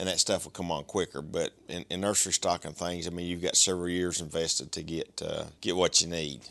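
Over a quiet background, a man speaks at a fairly quick pace. His very deep, low pitch carries a bright, sharp tone. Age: 50s. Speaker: greenhouse owner. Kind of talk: casual interview.

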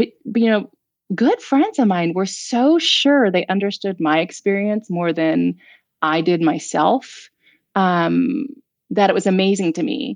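Her pitch is medium and her voice normal as a woman speaks at a fairly slow pace. She keeps her loudness very even while her intonation stays lively. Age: 50s. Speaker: author and mother. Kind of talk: casual chat.

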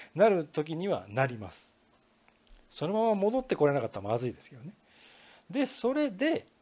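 A man with a high pitch speaks in very wide pitch swings. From Kansai region, Japan. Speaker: podcast host, marketing consultant. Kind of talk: solo podcast lecture. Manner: casual, many filler words.

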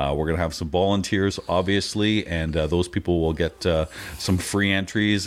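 Speaking at a moderate pace with a Canadian accent, a man uses a very deep, low voice with fairly even intonation. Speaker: pinball podcaster and tournament organizer. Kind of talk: casual chat.

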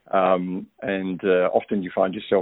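A man speaks with an Australian accent. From Australia, Melbourne. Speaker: listener sending feedback, parent. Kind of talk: recorded voicemail feedback. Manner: casual, hesitant with fillers.

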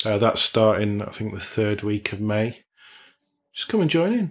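A man with an unremarkable speaking voice talks at a fairly quick pace with lively intonation. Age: 40s. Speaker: men's community group founder. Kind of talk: interview.

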